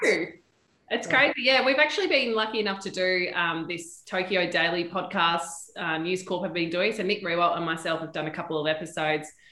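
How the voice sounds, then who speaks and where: A woman speaks fairly quickly in an Australian accent, her pitch fairly low. Audible room echo surrounds her voice. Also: ordinary pitch variation. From Perth, Western Australia. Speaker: sports TV presenter and reporter. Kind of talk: casual interview chat. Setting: studio.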